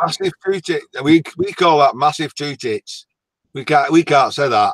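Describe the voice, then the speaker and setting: A man speaks at a fairly slow pace. He has a strong northern English accent. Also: dry, close sound with no echo. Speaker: YouTuber guest. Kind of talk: casual chat. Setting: video call livestream.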